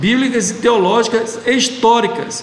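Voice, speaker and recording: Over noticeable background noise and audible room echo, a man talks at a fairly slow pace with an extremely high pitch. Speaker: meeting leader of a church study group. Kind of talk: online group meeting discussion. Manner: halting, with many repetitions.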